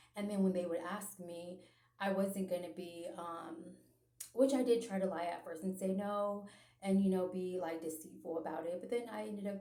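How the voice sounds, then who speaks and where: At a moderate pace, a woman with a medium-pitched voice shows ordinary pitch variation and big swings in loudness, with audible room echo around her. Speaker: religious vlogger. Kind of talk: personal testimony monologue. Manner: hesitant, many filler ums and repetitions.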